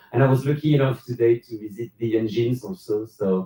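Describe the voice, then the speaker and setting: With a French accent, a man talks at a fairly quick pace, his medium pitch showing ordinary variation. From France. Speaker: cruise passenger, railway worker. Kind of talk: live panel Q&A. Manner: hesitant with fillers.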